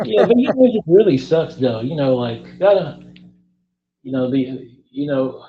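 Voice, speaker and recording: A man speaks at a moderate pace with lively intonation. Long pauses come often. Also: fairly high pitch for a man. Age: 30s. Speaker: interviewer. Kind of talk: casual chat.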